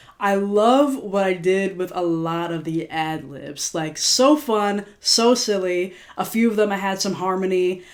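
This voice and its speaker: A woman talks at a fairly slow pace with hardly any pauses, her pitch medium and its variation ordinary. Noticeable background noise is present. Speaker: singer-songwriter reflecting on own music. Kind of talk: casual video commentary. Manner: casual, filler-heavy.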